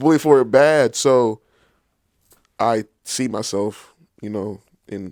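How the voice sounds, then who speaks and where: A man with an American accent speaks at a very slow pace and medium pitch, with ordinary pitch variation, long, frequent pauses and big swings in loudness. The sound is dry and close with no echo, in a very clean recording with a silent background. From Southern California. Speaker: podcast guest. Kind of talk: casual interview.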